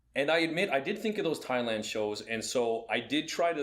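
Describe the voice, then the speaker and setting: Lively intonation from a man's voice. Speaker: fight commentator and podcast co-host. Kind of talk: casual chat. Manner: loud.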